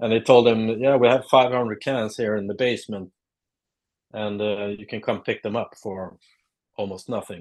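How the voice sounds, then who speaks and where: A man with a Swedish accent at a moderate pace over a quiet background. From southern Sweden (Lund). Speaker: artist. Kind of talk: casual interview.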